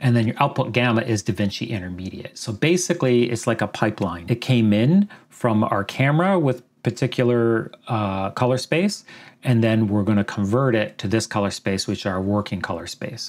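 A man with a Canadian accent talks at a medium pitch with ordinary pitch variation in a plain, everyday voice. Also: moderate pace. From Canada. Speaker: video editing tutor. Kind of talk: tutorial.

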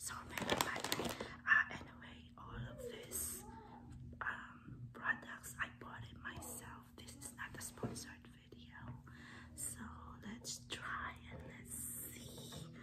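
Her pace is very slow. The woman whispers throughout. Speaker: ASMR eating video creator. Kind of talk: casual talk to camera. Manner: whispered, soft-spoken. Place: home room. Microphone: phone near.

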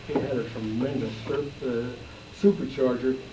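A man talks at a moderate tempo while noticeable noise sounds behind him. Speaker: guest. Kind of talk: talk to an audience. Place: classroom. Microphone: podium.

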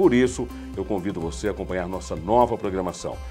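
A man at a fairly quick pace over faint music in the background. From Brazil. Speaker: radio programming coordinator and announcer. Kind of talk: radio promo announcement. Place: studio. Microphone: lapel.

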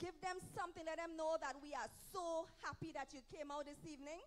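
A woman with a Trinidadian accent, ordinary pitch variation, and light background noise. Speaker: evangelist preacher. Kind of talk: sermon. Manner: animated. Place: church. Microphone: handheld.

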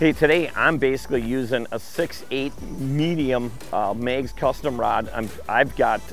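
A man speaks with fairly even intonation over faint music in the background, in a dry sound with no echo. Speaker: fishing show host. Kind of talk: tutorial. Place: boat. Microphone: camera far.

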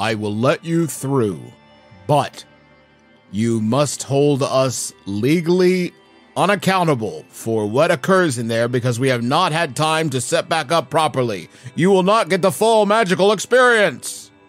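Faint music plays behind a man doing a put-on character voice. His fairly high voice moves at a moderate pace with very wide pitch swings. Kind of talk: formal customer-service speech. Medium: actual play. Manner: stiff, polite, evasive.

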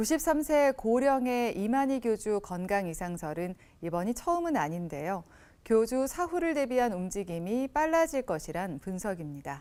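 A woman talks at a fairly slow pace in a fairly high pitch, with a dark, mellow tone and very wide pitch swings. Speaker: news anchor. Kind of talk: TV news read.

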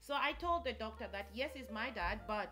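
The pace is moderate as a woman talks. Faint music sits in the background. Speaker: vlogger. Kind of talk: casual vlog storytelling. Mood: animated, recounting shocking story. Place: home room.

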